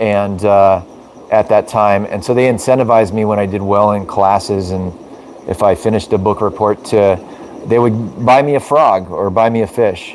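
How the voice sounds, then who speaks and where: Over noticeable background noise, a man speaks at a moderate pace in a fairly low pitch with fairly even intonation. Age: 40s. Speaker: aquarium fish breeder and live streamer. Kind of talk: casual live stream chat. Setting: live video stream. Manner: hesitant, many fillers.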